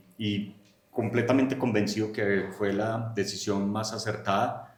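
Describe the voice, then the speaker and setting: A man with a paisa accent at a fairly slow pace, with audible room echo. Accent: paisa (Medellín). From Colombia, Medellín (paisa). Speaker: agronomist and research center director. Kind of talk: podcast interview.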